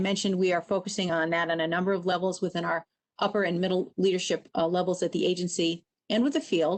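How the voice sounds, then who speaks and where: The woman's pitch sits at a medium level. She talks at a very fast pace. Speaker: government agency official. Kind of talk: presentation at a public meeting.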